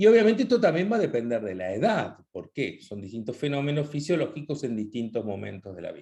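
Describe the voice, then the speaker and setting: A man's dark, mellow voice, fairly high in pitch, with very wide pitch swings, big swings in loudness, a very fast pace and hardly any pauses. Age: 60s. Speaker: nutrition talk host. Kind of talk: online talk with slides. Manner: hesitant, many fillers.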